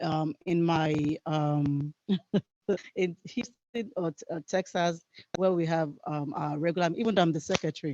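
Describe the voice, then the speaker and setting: The sound is dry and close, with no echo. A woman with a fairly low pitch and ordinary pitch variation speaks at a fairly slow pace. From outside the United States. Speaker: HIV advocate, workshop presenter. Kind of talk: workshop presentation. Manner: many filler ums, hesitant.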